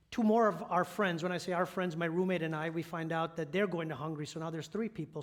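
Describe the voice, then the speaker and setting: A man with an American accent speaks at a high pitch with fairly even intonation. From Upstate New York, Syracuse area. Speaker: church elder and lay preacher. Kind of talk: sermon. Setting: church. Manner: conversational, many fillers.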